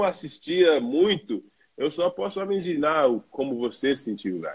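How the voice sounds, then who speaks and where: A man speaks with lively intonation. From New York, US, Brazilian family. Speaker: professional basketball player. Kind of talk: casual chat. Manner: halting.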